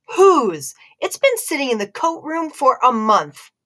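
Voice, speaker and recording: With very wide pitch swings, someone performs a put-on character voice at a moderate pace. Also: woman, high pitch for a woman. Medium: read story. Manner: firm, authoritative.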